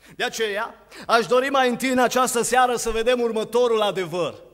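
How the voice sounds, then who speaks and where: A man speaks in a high-pitched voice against a quiet background. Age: 20s. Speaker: preacher. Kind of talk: sermon. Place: church. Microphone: podium.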